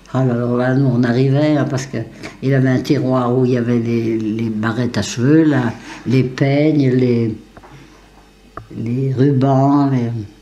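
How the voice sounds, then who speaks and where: A woman with a very deep, low pitch speaks fairly slowly in a monotone, flat intonation, with long, frequent pauses and audible room echo. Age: 80s+. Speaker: elderly villager sharing memories. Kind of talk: oral history interview. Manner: halting, repetitive.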